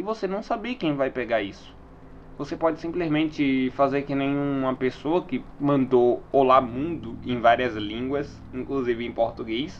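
The man speaks at a fairly slow pace. His medium pitch shows ordinary variation. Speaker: solo podcaster. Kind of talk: casual monologue.

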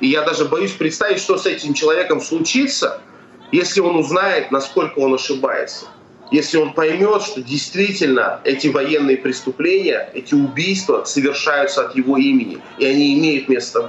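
A man talks at a moderate pace, with noticeable background noise present. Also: fairly high pitch for a man, ordinary pitch variation. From Russia. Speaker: activist. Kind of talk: live interview.

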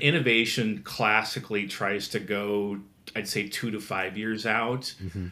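The speaker has an American accent and a bright, sharp tone. Intonation is fairly even, at a moderate pace. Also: man. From Nebraska, US Midwest. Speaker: design and product leader. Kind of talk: interview conversation.

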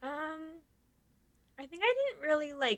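Her voice is raised and projected, with a bright, sharp tone. The woman speaks at a fairly slow pace with ordinary pitch variation. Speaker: podcast co-host. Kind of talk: casual chat.

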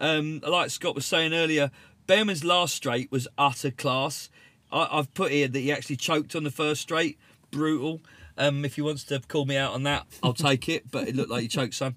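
This man has a British accent and a bright, sharp tone. His pitch is fairly high, with ordinary variation. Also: moderate pace. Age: 40s. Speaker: BMX racer and team support staff. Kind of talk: casual chat. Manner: animated.

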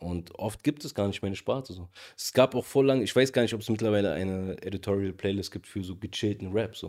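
A man with a plain, everyday voice, fairly low in pitch with ordinary pitch variation, at a fairly quick pace with big swings in loudness, on a very clean recording with a silent background. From Berlin, Charlottenburg. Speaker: rapper. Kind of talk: casual discussion.

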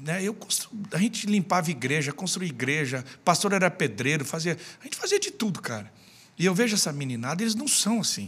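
Very wide pitch swings run through this man's speech. He is high-pitched and moves at a fairly quick pace. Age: 40s. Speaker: pastor. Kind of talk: casual chat.

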